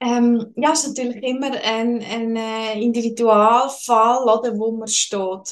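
Speaking very slowly yet with hardly any pauses, a woman with a Swiss German accent uses a fairly high pitch and a monotone, flat intonation. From Switzerland, Lucerne. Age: 20s. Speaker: financial advisor. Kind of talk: interview.

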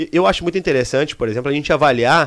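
A man's fairly high-pitched, ordinary speaking voice with lively intonation. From southern Brazil, Serra Gaúcha (Rio Grande do Sul). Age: 30s. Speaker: city councillor. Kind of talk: casual interview chat. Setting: live studio stream.

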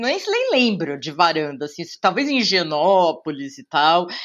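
Pitched fairly low, a woman with a São Paulo accent speaks at a fairly slow pace with hardly any pauses and very wide pitch swings. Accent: São Paulo Brazilian Portuguese. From Brazil, São Paulo city. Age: 40s. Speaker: journalist and TV presenter. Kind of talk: casual interview.

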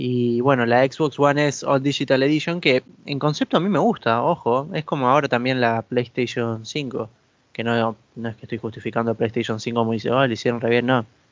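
The man has a plain, everyday voice, pitched in the medium range, with ordinary pitch variation and a moderate pace. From Argentina. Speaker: video game podcast co-host. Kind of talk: casual chat.

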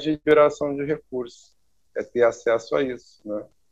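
A man's fairly high voice at a moderate pace, with fairly even intonation and a quiet background. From Brazil, Rio Grande do Sul (Santa Maria). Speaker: architect. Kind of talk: interview. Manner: halting, many repetitions.

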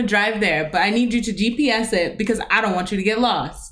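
A woman with an ordinary speaking voice talks at a moderate pace in a fairly high pitch with ordinary pitch variation. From US West, Las Vegas. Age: 20s. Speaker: podcast co-host. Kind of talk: casual chat.

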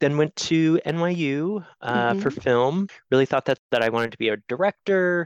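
A man with an American accent speaks in a plain, everyday voice, fairly high-pitched, at a moderate pace with lively intonation. His loudness stays very even, the sound is dry and close with no echo, and the background is quiet. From US Northeast, rural Maine. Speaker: production designer. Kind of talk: interview conversation.

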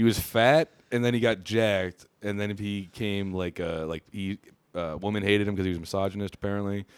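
Heard as a dry, close sound with no echo, a man with a normal speaking voice and a fairly low pitch talks at a fairly quick pace with fairly even intonation. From Pennsylvania, Harrisburg area. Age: 20s. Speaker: comedian. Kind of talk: casual chat. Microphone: not coming in at first, level issues.

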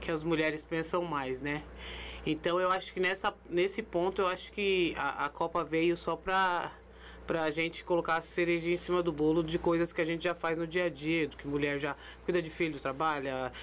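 With an unremarkable speaking voice, a woman talks at a moderate pace in a fairly low pitch with fairly even intonation. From São Paulo, Zona Sul. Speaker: amateur football tournament director. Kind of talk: casual chat. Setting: studio.

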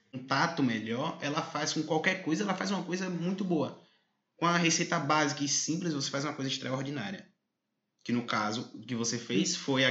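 In a room with audible echo, a man with a fairly high pitch speaks at a moderate pace with lively intonation. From southern Bahia, Brazil. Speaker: podcast host. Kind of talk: interview.

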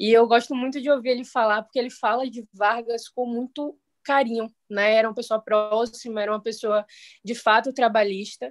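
A woman's fairly high voice in a monotone, flat delivery at a moderate pace. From Salvador, Bahia, Brazil. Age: 20s. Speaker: city council candidate. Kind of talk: political discussion.

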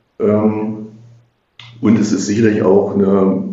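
In a room with audible echo, a man with a fairly low pitch talks in a monotone, flat intonation. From Magdeburg, eastern Germany (Saxony-Anhalt). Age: 50s. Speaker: politician, mayoral candidate and city councillor. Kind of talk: podcast interview. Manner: hesitant, many filler sounds.

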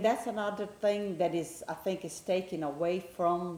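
A woman speaks with a Brazilian accent. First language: Portuguese. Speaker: guest, football fan. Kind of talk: casual interview chat about soccer.

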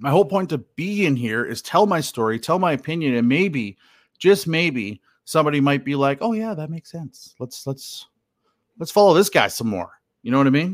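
In a western Canadian accent, a man speaks at a moderate pace and fairly high pitch with lively intonation, on a very clean recording with a silent background. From Canada, Alberta (Hinton). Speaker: podcaster, recovering addict, political commentator. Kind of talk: casual personal monologue. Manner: hesitant, many fillers and repetitions.

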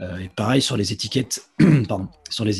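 His pitch is fairly low, and this man takes a fairly slow pace. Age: 30s. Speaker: football commentator. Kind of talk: interview. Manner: halting, frequent repetitions.

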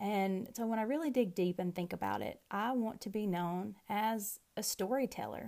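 Dark, mellow tone with a Southern US accent and ordinary pitch variation, in a very clean recording with a silent background. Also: woman. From US South. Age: 30s. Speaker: podcast host and rancher. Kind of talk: casual monologue.

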